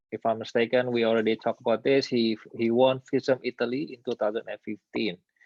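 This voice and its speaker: Speaking very fast in an Indonesian accent, a man keeps a medium pitch and flat, monotone intonation. His loudness swings widely. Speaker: magician, channel host. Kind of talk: live stream interview. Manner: halting.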